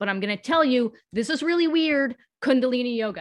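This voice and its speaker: A woman's plain, everyday voice at a moderate pace, with lively intonation. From US. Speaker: pain-free movement specialist and social justice consultant. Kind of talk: casual interview conversation.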